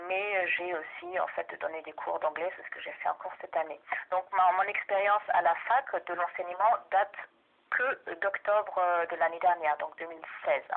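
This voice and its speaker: Speaking with a German accent, a woman lets her loudness swing widely. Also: moderate pace. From Germany. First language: German (speaking French). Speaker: doctoral researcher and language teacher. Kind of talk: research interview. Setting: phone call. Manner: hesitant, many fillers.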